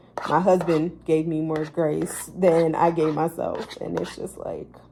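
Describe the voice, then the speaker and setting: A woman speaks at a very slow pace. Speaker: natural bodybuilding competitor, vlogger. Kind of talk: casual vlog monologue. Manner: filler-heavy, conversational.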